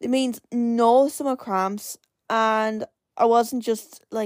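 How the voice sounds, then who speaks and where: Dry and close with no echo on a very clean recording with a silent background, a woman with an Irish accent speaks in an animated tone. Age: 20s. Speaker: podcast host. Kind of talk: casual solo chat.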